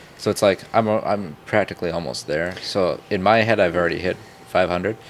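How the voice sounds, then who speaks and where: A man's very deep, low voice at a fairly quick pace, fairly even in intonation, amid noticeable background noise. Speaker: podcast host and small content creator. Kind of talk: casual chat. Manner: fast.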